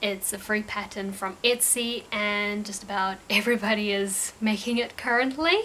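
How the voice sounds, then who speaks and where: A woman with a New Zealand accent, bright and sharp in tone, fairly high-pitched, fairly even in intonation, at a moderate pace. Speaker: crochet crafter and vlogger. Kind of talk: casual craft vlog. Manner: casual, hesitant with fillers and repeats.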